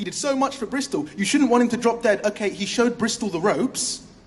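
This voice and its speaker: Speaking in a British accent, this man keeps up a fairly quick pace. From England. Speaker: spoken word poet. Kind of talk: slam poetry performance. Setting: stage with audience.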